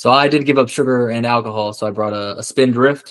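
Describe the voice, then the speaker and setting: Here is a man with an American accent and a plain, everyday voice. He uses a medium pitch and fairly even intonation at a fairly quick pace. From Georgia, US South. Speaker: panel guest, ex-law enforcement. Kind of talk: casual panel discussion.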